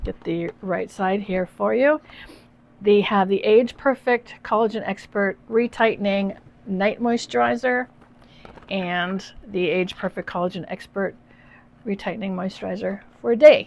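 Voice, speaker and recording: At a fairly slow pace, a woman with a Canadian accent speaks in a medium pitch with ordinary pitch variation. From Eastern Canada, New Brunswick. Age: 60s. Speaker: beauty vlogger. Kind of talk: product unboxing review. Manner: animated.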